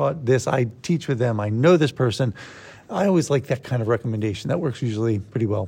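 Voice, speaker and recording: A man's somewhat breathy voice, lively intonation, and fairly quick pace against a quiet background. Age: 50s. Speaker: martial arts coach. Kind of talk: casual chat.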